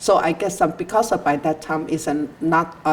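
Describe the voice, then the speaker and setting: A woman with a Chinese accent speaks in a very deep, low pitch at a moderate pace. Her pitch varies in an ordinary way, with noticeable background noise behind her. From southern China. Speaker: immigrant interviewee. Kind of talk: interview. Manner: halting, many fillers.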